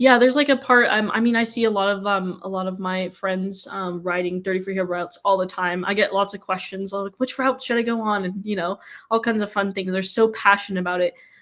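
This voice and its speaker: A woman speaks in a plain, everyday voice at medium pitch with fairly even intonation. Her pace is fairly quick, with hardly any pauses. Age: young. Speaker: podcast director. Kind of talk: casual chat.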